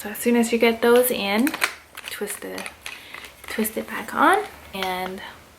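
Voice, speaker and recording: A woman speaks in an upbeat tone at a fairly high pitch with ordinary pitch variation. Noticeable background noise can be heard. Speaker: YouTuber. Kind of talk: unboxing video. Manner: casual, upbeat.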